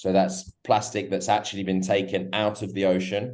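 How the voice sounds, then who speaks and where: Over a quiet background, a man speaks with a very deep, low pitch and a dark, mellow tone in a monotone, flat intonation. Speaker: co-founder of sunglasses company. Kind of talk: radio interview. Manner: hesitant, repeats words.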